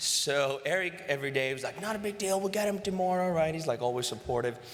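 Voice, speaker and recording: With a Greek accent, a man talks very fast in a fairly high voice. His intonation is lively, and noticeable background noise is present. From Greece. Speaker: sales executive. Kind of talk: acceptance speech. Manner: animated.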